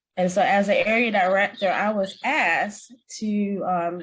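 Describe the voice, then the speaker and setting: Somewhat breathy, the voice shows ordinary pitch variation against a quiet background. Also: woman. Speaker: area director in a public speaking club. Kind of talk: panel discussion.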